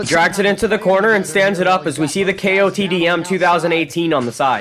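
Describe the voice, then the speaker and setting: High-pitched male voice at a very fast pace, very even loudness and ordinary pitch variation, with noticeable background noise. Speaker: wrestling commentary YouTuber. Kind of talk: casual profane match recap narration.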